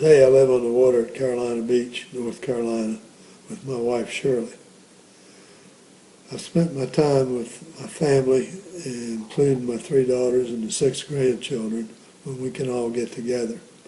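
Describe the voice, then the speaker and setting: A man with an American accent speaks at a moderate pace and a medium pitch, his intonation fairly even, his loudness swinging widely, with long, frequent pauses and noticeable background noise. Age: 80s+. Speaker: war veteran. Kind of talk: interview. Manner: halting.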